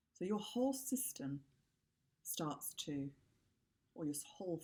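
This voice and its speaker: A woman's very deep, low pitch with very wide pitch swings, a calm tone and a moderate pace. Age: middle-aged. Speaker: havening practitioner. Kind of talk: tutorial.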